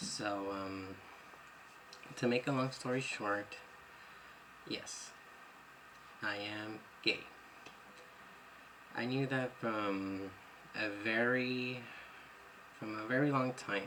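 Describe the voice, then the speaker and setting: A man at medium pitch and a very slow pace, with fairly even intonation, long and frequent pauses and audible room echo. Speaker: vlogger. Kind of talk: personal testimony vlog. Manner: rambling, unedited talk with fillers.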